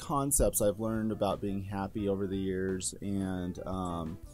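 A fairly low-pitched man's voice over music in the background. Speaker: gamer and streamer. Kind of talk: casual talk to camera. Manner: hesitant, with stutters and pauses.

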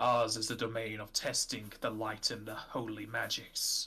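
A man talks at a fairly slow pace with a medium pitch. Faint music plays in the background. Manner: solemn, measured, archaic.

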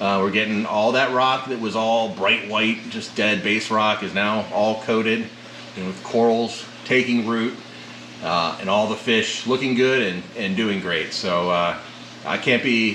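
Audible room echo and light background noise surround the recording. A man talks at a fairly slow pace with fairly even intonation. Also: fairly low pitch for a man. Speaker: aquarium hobbyist channel host. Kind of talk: casual tour commentary. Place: home room.

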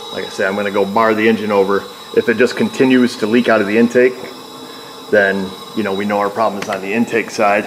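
A very fast pace amid noticeable background noise. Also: man. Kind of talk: tutorial. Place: garage. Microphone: phone near.

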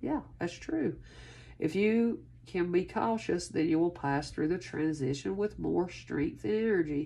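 A woman talks at a fairly slow pace. Her loudness stays very even. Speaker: tarot reader. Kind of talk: casual reading to viewers. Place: home room. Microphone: phone near.

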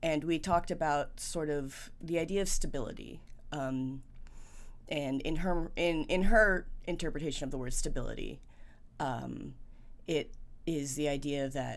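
A woman speaks in a very deep, low pitch with vocal fry and ordinary pitch variation. Her pace is moderate, with long, frequent pauses. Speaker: vlogger. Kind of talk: casual vlog chat, personal update. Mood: reflective, candid. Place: home room.

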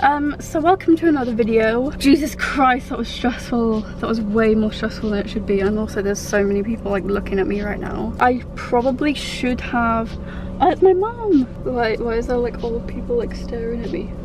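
Music plays in the background as the voice moves at a moderate pace with ordinary pitch variation and hardly any pauses, the sound dry with no echo. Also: woman. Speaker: vlogger driving. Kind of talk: casual vlog chat. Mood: nervous, embarrassed, giggly. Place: car. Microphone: phone near.

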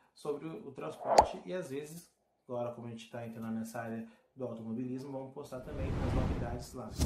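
Loud background noise runs behind a man talking at a very fast pace. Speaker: vehicle channel host. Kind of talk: casual vlog chat. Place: home room.

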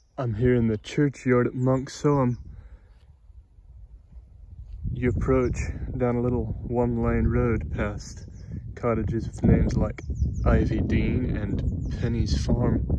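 Loud background noise runs under a dry recording with no echo. A man talks at a fairly slow pace with long, frequent pauses. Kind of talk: commentary. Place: open country. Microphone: phone near.

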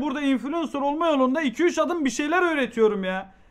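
Against a quiet background, the voice sounds animated, with ordinary pitch variation. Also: man. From Turkey. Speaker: streamer reacting to a video. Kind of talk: casual live-stream chat. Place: home room. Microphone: headset.

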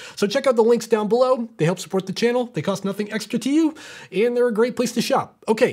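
Over a quiet background, a man with an extremely high-pitched voice talks at a very fast pace with ordinary pitch variation. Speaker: tech reviewer. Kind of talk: product review talk. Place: studio.

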